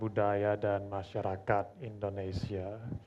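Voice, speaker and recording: Over music in the background, a man with an English accent speaks at a very slow pace. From Australia. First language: English (speaking Indonesian). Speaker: language learner, competition participant. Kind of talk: self-introduction; reading aloud a letter. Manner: formal.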